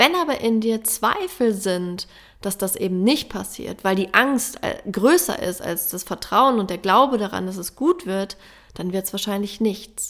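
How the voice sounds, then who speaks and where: A woman with a plain, everyday voice, medium in pitch, fairly slow, with lively intonation. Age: 30s. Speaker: plant medicine ceremony facilitator and podcaster. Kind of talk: spiritual monologue. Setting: alone in a room at home.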